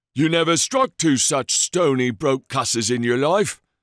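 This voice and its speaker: Putting on a character voice, a man speaks at medium pitch and a moderate pace, raspy and at very even loudness, with ordinary pitch variation. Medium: read story. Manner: slangy, common, matey.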